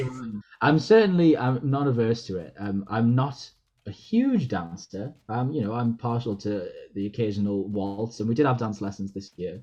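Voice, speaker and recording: This man has a Geordie accent and a medium pitch. He speaks at a moderate pace with ordinary pitch variation. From Newcastle, England. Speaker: actor. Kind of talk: interview answer.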